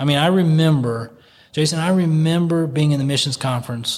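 A man with an American accent, somewhat breathy, with ordinary pitch variation. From United States. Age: 40s. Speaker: missionary. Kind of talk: casual chat.

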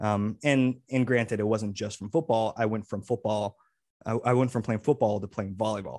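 The speaker talks at a moderate pace with ordinary pitch variation against a quiet background. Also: man, fairly low pitch for a man. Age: 30s. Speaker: personal trainer and co-host. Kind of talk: casual chat. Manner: halting.

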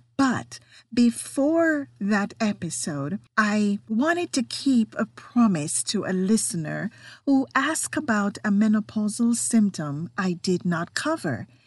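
Very slowly and somewhat breathily, a woman with a fairly high voice and very wide pitch swings speaks in a non-native accent, the sound dry and close with no echo over a quiet background. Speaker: podcast host. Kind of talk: solo podcast monologue, partly reading health information.

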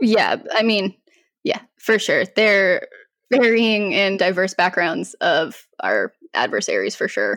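With an American accent, a woman talks at a very slow pace, the sound dry and close with no echo. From Colorado, US. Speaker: cybersecurity professional. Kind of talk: interview.

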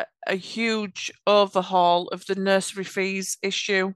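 Recorded dry and close with no echo in a quiet background, a woman speaks at medium pitch with fairly even intonation. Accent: Yorkshire. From Yorkshire, England. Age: 30s. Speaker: automation architect. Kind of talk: casual interview chat.

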